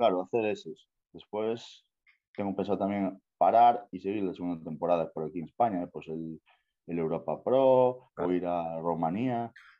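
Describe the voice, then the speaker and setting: The man's voice sits very deep and low, moving at a moderate pace with ordinary pitch variation. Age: 20s. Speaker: bodybuilder. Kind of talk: interview. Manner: casual.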